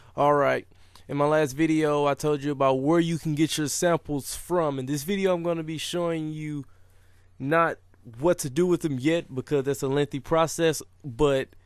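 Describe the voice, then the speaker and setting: Using an unremarkable speaking voice, a man talks at a moderate pace and fairly high pitch with fairly even intonation. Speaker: music production tutorial maker. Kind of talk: tutorial. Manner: casual.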